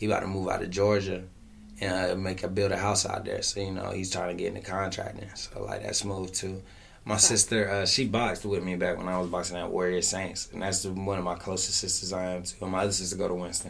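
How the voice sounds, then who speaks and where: Words come very fast in a monotone, flat intonation. Room echo is audible. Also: man. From US South, Fayetteville, North Carolina. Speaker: rapper. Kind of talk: casual interview.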